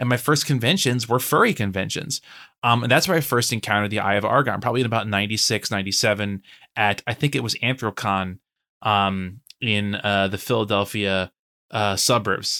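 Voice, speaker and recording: Heard dry and close with no echo on a very clean recording with a silent background, a man speaks fairly quickly in a fairly low pitch with a bright, sharp tone and ordinary pitch variation. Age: 30s. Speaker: guest discussing a book. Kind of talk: casual chat. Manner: halting, many repetitions.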